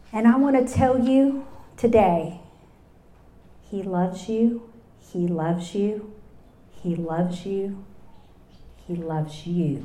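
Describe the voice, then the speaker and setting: With a Texas accent and lively intonation, a woman speaks at a very slow pace, leaving long, frequent pauses amid audible room echo. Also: medium pitch for a woman. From Texas Hill Country. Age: 60s. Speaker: speaker. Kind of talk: testimony. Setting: luncheon with live audience.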